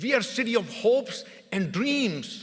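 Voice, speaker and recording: In an Indian accent, the voice has a bright, sharp tone and lively intonation. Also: man. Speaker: mayor. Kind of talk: formal address. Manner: formal; halting.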